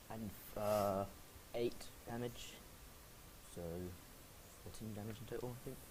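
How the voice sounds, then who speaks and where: With audible room echo, a man speaks at a moderate pace and medium pitch in a somewhat breathy voice, his intonation monotone and flat, broken by long, frequent pauses. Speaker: tabletop game player. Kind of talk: casual tabletop gameplay. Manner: halting, self-correcting.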